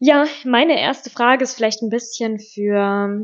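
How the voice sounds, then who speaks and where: A very slow pace with fairly even intonation. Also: woman. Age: 20s. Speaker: podcast co-host, teacher-training student. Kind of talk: casual chat.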